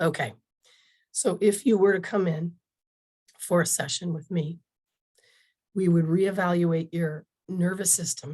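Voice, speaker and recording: A fairly slow, somewhat breathy woman's voice, fairly low in pitch with a dark, mellow tone, ordinary pitch variation, and long, frequent pauses. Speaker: natural health practitioner. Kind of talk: webinar presentation.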